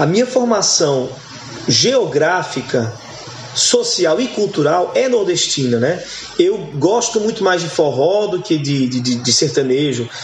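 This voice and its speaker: A man's high voice with very wide pitch swings at a fairly slow pace, with noticeable background noise and audible room echo. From Goiás, Brazil (born Goiânia), raised largely in Northeast Brazil. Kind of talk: casual interview chat.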